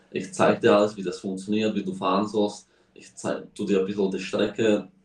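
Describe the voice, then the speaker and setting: This is a man speaking. His pitch is fairly low. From Slovakia. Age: young. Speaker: racing driver. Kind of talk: casual interview. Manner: halting.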